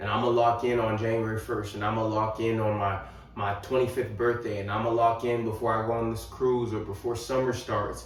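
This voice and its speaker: Over noticeable background noise and audible room echo, a man with a medium-pitched voice talks fairly quickly in a monotone, flat delivery. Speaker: fitness and life coach YouTuber. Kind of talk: motivational talk to camera. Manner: casual, conversational with fillers.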